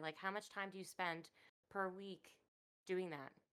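Using an unremarkable speaking voice, she talks at a medium pitch for a woman and a moderate pace, her pitch varying ordinarily. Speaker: co-host. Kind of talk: casual chat.

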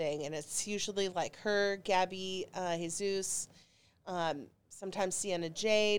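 The recording is very clean, with a silent background. The speaker talks with an American accent. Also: woman. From Dallas, Texas. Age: 40s. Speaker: comedian. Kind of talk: casual chat. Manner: animated.

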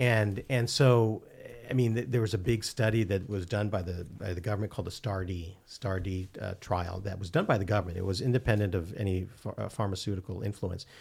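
At a fairly quick pace, a man with a fairly low, somewhat breathy voice keeps his intonation fairly even. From Philippines (Manila). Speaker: psychiatrist and addiction specialist. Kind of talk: casual interview. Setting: studio. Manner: halting, many fillers and repeats.

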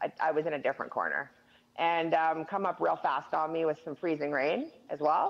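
In a Western Canadian accent, a woman speaks at a moderate pace. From Northern British Columbia, Canada. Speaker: quadriplegic wheelchair user, former oil field worker. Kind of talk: casual interview.

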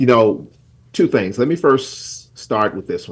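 A man talks with an American accent. His pitch sits in the medium range. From South Carolina. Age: 60s. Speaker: pastor and community leader. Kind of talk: radio interview.

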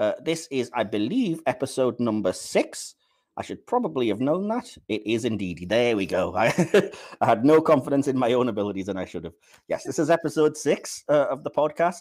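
A man with a British accent speaks at a medium pitch with very wide pitch swings, in a very clean recording with a silent background. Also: fairly quick pace. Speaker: podcast host. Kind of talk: casual chat. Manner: sluggish.

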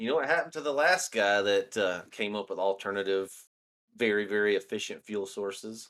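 Recorded very cleanly against a silent background, a man with a Southern US accent talks at a fairly quick pace, with a fairly low pitch and ordinary pitch variation. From US South, northeast Alabama. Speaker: podcast co-host. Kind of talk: casual chat.

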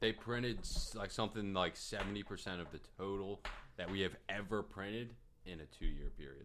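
A man talks at a fairly quick clip in a fairly low register with ordinary pitch variation, a plain, everyday voice. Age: 20s. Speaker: podcast co-host. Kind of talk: casual chat; storytelling.

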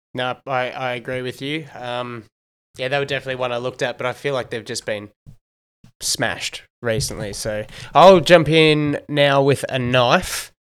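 This man speaks at a medium pitch with an Australian accent. The recording is very clean and the background silent. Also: moderate pace. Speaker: sports podcast host. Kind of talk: casual sports analysis chat. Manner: animated.

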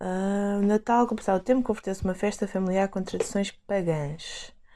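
A woman's medium-pitched voice with a European Portuguese accent, dark and mellow in tone, fairly even in intonation, at a moderate pace. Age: 20s. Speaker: podcast host, dancer. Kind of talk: reading aloud; casual chat. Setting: at home.

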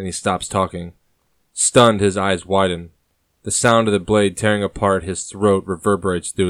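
Against a quiet background, a passage gets plain reading aloud.

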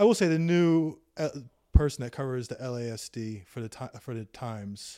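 With an American accent, a man talks at a moderate pace in an ordinary speaking voice of medium pitch, his intonation lively and his loudness swinging widely, on a very clean recording with a silent background. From New York. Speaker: police accountability activist. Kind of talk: casual interview. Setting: host's home.

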